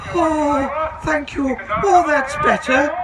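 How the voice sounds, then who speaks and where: Loud background noise surrounds a man doing a put-on character voice. His pitch is extremely high. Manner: sighing with relief.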